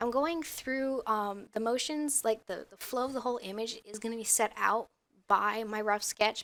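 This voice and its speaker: Speaking at a moderate pace, a woman shows big swings in loudness and ordinary pitch variation. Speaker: concept artist. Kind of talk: art process commentary voice-over. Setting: headset microphone. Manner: hesitant, many filler words.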